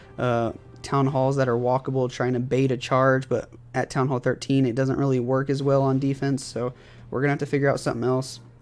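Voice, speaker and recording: With music in the background, a man at a medium pitch speaks at a fairly quick pace in very even loudness. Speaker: gaming youtuber. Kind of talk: gameplay commentary. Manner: fast; animated.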